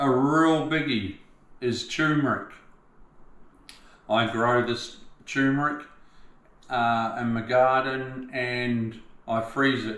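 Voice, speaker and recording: At a very slow pace, a man with an Australian accent talks with fairly even intonation and long, frequent pauses. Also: medium pitch for a man. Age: 60s. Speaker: tiler. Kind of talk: casual talk to camera. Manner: relaxed, chatty.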